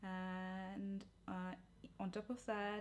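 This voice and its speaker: She speaks with a non-native accent. The voice belongs to a woman. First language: not English. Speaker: cooking and nutrition vlogger. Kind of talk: cooking tutorial. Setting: home kitchen.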